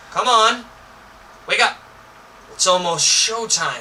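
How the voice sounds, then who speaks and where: In a put-on character voice, a man speaks fairly slowly at a high pitch with a raspy edge, over clear background noise. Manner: urgent, hurrying.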